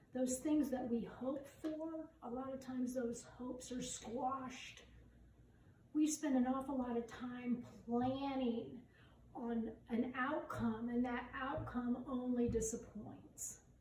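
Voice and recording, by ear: A woman speaks slowly at a high pitch, her dark, mellow tone and fairly even intonation set in audible room echo.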